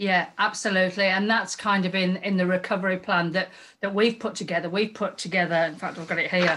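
A woman's bright, sharp voice sits at a medium pitch and moves at a fairly quick pace. Her intonation stays monotone and flat. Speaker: tourism promoter. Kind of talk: casual interview chat.

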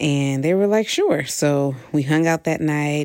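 A woman speaks at a fairly slow pace in a very deep, low pitch, with ordinary pitch variation. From Ohio, US Midwest (Toledo). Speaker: university alumna sharing memories. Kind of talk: personal testimony.

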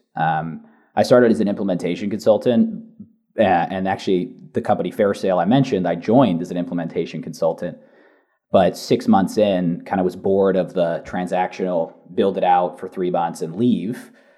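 The speaker has a dark, mellow tone and an American accent. Delivery moves at a fairly quick pace with fairly even intonation. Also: man, very deep, low pitch for a man. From San Francisco Bay Area, California. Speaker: chief customer officer at a SaaS company. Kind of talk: casual podcast interview.

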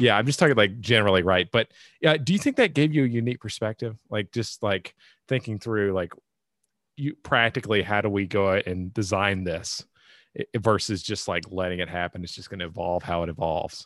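A man with an American accent and an ordinary speaking voice, fairly low in pitch with ordinary pitch variation, in a dry, close sound with no echo. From US, red state. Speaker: podcast host. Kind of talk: interview.

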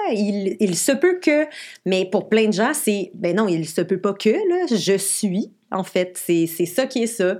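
The woman's pitch is medium, with ordinary pitch variation. She speaks at a very slow pace. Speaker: podcast co-host. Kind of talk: casual chat. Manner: halting.

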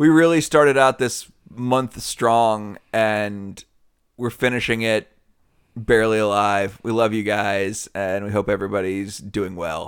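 An enthusiastic man with a fairly low pitch and ordinary pitch variation speaks at a fairly slow pace. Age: 40s. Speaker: podcast co-host. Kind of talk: casual chat. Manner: loud and enthusiastic.

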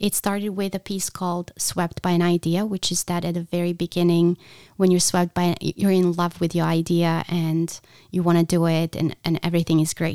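Speaking with a non-native accent, a woman uses a fairly low pitch, a dark, mellow tone and monotone, flat intonation at a moderate pace, in a dry, close sound with no echo. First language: not English. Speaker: podcast host and visual artist. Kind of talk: solo podcast monologue.

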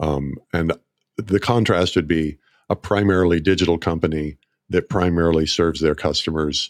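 The speaker has an American accent and fairly even intonation. The recording is very clean, with a silent background and a dry, close sound with no echo. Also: man. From US South, northeast Oklahoma near Tulsa. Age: 60s. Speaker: marketer and radio ad writer. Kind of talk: casual chat. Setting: studio.

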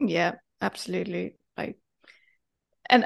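Someone with a German accent speaks against a quiet background. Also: woman. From Germany. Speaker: life coach. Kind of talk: casual chat.

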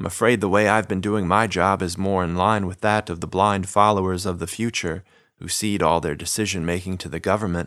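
On a very clean recording with a silent background, a man with a very deep, low pitch talks at a fairly quick pace in a monotone, flat intonation. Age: 30s. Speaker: podcast host and narrator. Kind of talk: scripted narration.

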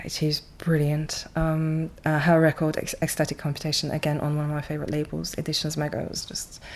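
A woman with a non-native accent talks in a very deep, low pitch and monotone, flat intonation, with hardly any pauses. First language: not English. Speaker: record label founder. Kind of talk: casual interview. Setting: label office. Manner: hesitant, with fillers.

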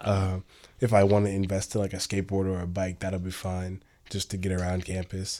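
The voice has a dark, mellow tone and monotone, flat intonation, moving at a fairly quick pace. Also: man, very deep, low pitch for a man. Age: young. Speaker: recent high school graduate, co-host. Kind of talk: casual chat. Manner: halting.

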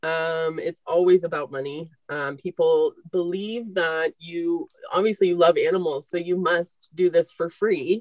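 With a plain, everyday voice, a woman speaks fairly slowly at a fairly low pitch and with fairly even intonation. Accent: American. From Northern California, Marin County. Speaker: veterinarian, practice owner. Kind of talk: casual interview chat.

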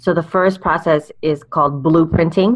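A woman talks with an American accent. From California. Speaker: life coach and speaker.

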